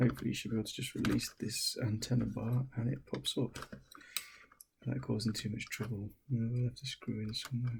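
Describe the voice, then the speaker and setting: Soft-spoken delivery moves at a fairly quick pace. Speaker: tech hobbyist doing a repair video. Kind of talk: casual tutorial. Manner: soft-spoken, talking quietly; casual with fillers and hesitations.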